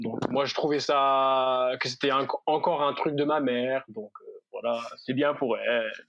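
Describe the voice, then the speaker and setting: Speaking with an English accent, a man uses a fairly high pitch and fairly even intonation at a fairly slow pace. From United States. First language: English (speaking French). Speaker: youth ministry worker. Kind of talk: casual podcast interview. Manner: hesitant, many fillers.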